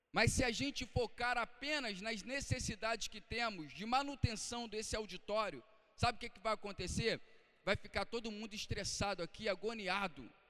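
In a raised, projected voice with a bright, sharp tone, the speaker moves at a moderate pace with ordinary pitch variation and big swings in loudness. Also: man, high pitch for a man. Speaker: pastor. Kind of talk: sermon. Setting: church. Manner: earnest, exhortative preaching; rhetorical questions, checking in with the congregation.

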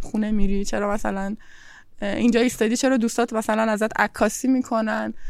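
A woman speaks in a plain, everyday voice, fairly high-pitched, with fairly even intonation at a fairly quick pace. The recording is very clean, with a silent background. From Bandar Abbas, southern Iran. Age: 20s. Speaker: artist and law student. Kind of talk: interview. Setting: outdoors on a terrace.

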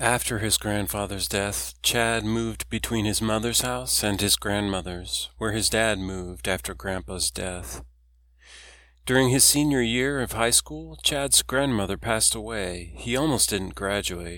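The recording is very clean, and the background is silent. A man talks at a fairly slow pace. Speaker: audiobook narrator. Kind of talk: audiobook narration, reading aloud a novel. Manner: steady, storytelling, measured.

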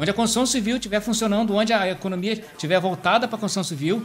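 A man talks at a very fast pace with a high pitch and ordinary pitch variation. Noticeable background noise sits behind him. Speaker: civil engineer. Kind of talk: casual chat. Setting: live stream.

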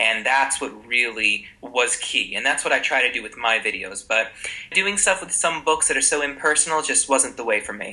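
Over noticeable background noise, a man with an American accent speaks at a moderate pace, his fairly high voice lively in intonation. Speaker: Italian teacher and YouTuber. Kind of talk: casual interview.

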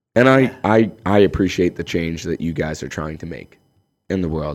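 The voice has a Canadian accent and ordinary pitch variation. The recording is very clean, with a silent background. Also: man. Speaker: personal trainer. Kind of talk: casual chat. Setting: studio. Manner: polite, uses sir and ma'am.

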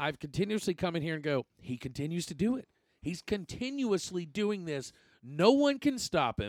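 This man speaks with a high pitch and very wide pitch swings. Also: moderate pace, dry, close sound with no echo. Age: 30s. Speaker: sports podcast host. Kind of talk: casual chat.

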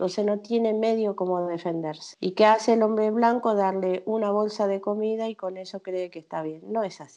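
A woman with a dark, mellow tone speaks at a medium pitch and moderate pace, with hardly any pauses. Her intonation stays fairly even while her loudness swings a lot. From Argentina, Misiones. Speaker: chef. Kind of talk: interview.

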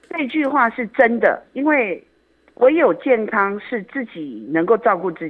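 The voice moves at a fairly slow pace with very wide pitch swings and big swings in loudness. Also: woman, fairly high pitch for a woman. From Taiwan, Yilan. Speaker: community association director. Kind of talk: radio interview.

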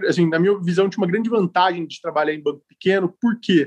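Recorded with a dry, close sound and no echo, a man speaks in a high pitch with ordinary pitch variation. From Ribeirão Preto, interior of São Paulo state, Brazil. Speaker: fund manager, economist. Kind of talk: casual interview.

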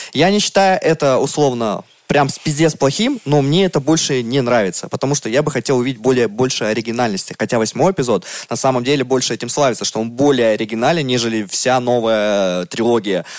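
A man with a medium-pitched voice speaks at a fairly quick pace with ordinary pitch variation, a normal speaking voice. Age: 30s. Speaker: podcast co-host. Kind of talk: casual chat.

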